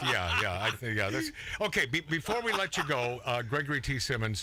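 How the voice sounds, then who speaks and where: Noticeable background noise runs under the recording. A man speaks at medium pitch and a moderate pace. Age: 60s. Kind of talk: casual chat.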